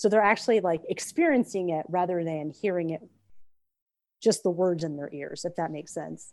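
Speaking at a moderate pace in a normal speaking voice, a woman with a fairly low pitch shows ordinary pitch variation and big swings in loudness. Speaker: author. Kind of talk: interview.

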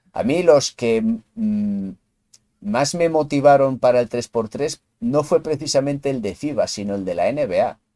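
With a dark, mellow tone and very wide pitch swings, a man talks at a fairly slow pace in a dry, close recording with no echo. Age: 40s. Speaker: podcast host, basketball fan. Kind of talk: casual chat.

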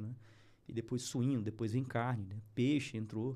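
A man with an unremarkable speaking voice talks at a moderate pace, his medium pitch carried in fairly even intonation. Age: 40s. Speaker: animal feed business owner. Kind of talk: casual interview. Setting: studio.

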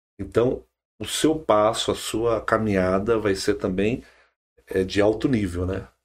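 A man with a plain, everyday voice, fairly low in pitch, speaks at a fairly slow pace with ordinary pitch variation on a very clean recording with a silent background. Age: 40s. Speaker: politician, former city councillor. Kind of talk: podcast interview.

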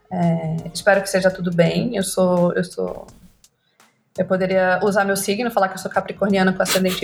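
A woman speaks in a monotone, flat intonation. Music plays in the background. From Brazil, Rondônia (Porto Velho). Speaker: copywriter and creative director. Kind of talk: interview.

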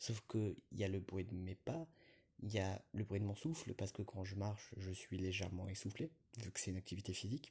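Fairly quick and somewhat breathy, a man speaks in a fairly low, dark, mellow voice with ordinary pitch variation. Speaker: podcaster. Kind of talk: solo monologue. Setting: outdoors, walking in a city. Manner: hesitant, many fillers.

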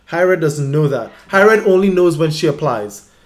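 A man's voice is heard with noticeable background noise. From Trinidad. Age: 30s. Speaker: higher education administrator. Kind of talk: casual chat.

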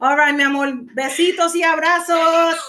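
A woman speaks in a raised, projected voice with an extremely high pitch and a bright, sharp tone. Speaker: livestream interviewer host. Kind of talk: casual interview chat. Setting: Instagram live stream.

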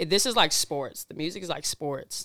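In an American accent, a woman with a very deep, low pitch talks at a fairly quick pace. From Washington (Seattle area, Burien). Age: 20s. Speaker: singer. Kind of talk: casual chat.

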